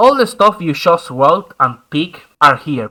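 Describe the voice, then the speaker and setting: A man with a Spanish accent talks at a fairly slow pace in a high, bright and sharp voice, recorded very cleanly against a silent background. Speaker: gaming YouTuber. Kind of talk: tutorial.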